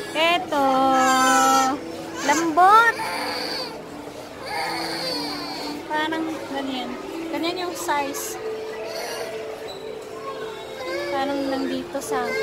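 Crowd noise fills the background as a woman speaks very slowly with ordinary pitch variation and long, frequent pauses, in a dry sound with no echo. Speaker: vlogger. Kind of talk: casual vlog chat. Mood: cheerful, excited. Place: shop. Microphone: phone near.

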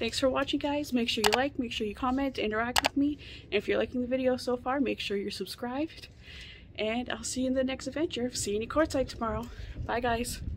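Over noticeable background noise, a woman with a high pitch talks very fast with fairly even intonation. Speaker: van life vlogger. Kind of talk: casual vlog chat. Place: open country. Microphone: phone near.

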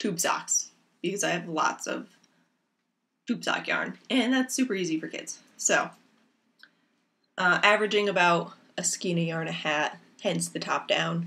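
Speaking at a fairly slow pace, a woman has a fairly low pitch and a fairly bright tone.

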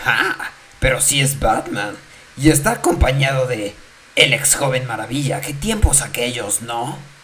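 A put-on character voice sits at a low-to-middle pitch. The delivery moves at a moderate pace. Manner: taunting, sarcastic.

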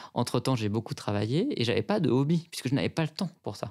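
A man's medium-pitched voice, with ordinary variation, comes through on a very clean recording with a silent background. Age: 30s. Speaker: consultancy director. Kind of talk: testimony. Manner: hesitant, many fillers.

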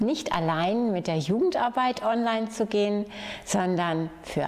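Lively in intonation and warm in tone, a woman speaks at a moderate pace. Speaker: head of municipal youth, family and senior services. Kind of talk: community project announcement. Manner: friendly, warm. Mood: warm, friendly. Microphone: lapel.

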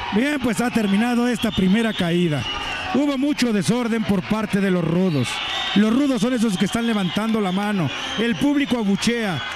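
At a moderate pace and with ordinary pitch variation, a man talks against noticeable background noise. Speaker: wrestling commentator. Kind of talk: live wrestling commentary.

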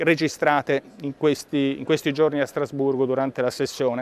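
Dry, echo-free sound carries a man's speech at a moderate pace. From Italy. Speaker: member of the European Parliament; politician. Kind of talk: political video update. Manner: formal. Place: hall. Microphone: lapel.

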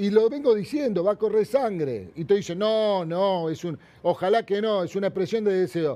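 This man has a high pitch, a dark, mellow tone and ordinary pitch variation, speaking at a moderate pace with a Rioplatense accent. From Argentina, Buenos Aires area; Argentina. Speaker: hairdresser and businessman; interview guest. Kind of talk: interview. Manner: animated. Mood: indignant, critical. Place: studio. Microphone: lapel.

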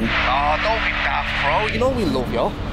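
The sound is dry with no echo, though loud background noise runs throughout. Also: man. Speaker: supportive friend on phone. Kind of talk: acted phone conversation. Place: street.

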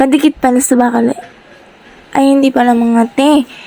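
A woman speaks with fairly even intonation. Background noise is noticeable. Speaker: vlogger. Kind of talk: voice-over narration.

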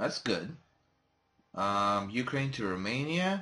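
At a very slow pace, a man talks quietly with a bright, sharp tone and lively intonation. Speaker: gaming youtuber. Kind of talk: let's play commentary. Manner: quiet, kept low volume.

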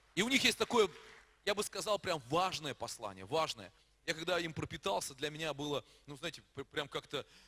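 A man with a bright, sharp tone and vocal fry speaks at a moderate pace. His pitch swings very widely, and long pauses come often. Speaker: pastor. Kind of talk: church announcement. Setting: church. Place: church. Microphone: handheld.

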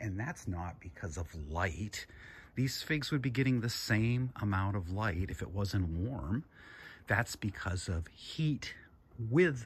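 Speaking very slowly, a man with a somewhat breathy, fairly low voice uses lively intonation. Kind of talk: casual vlog chat. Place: garden. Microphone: phone near.

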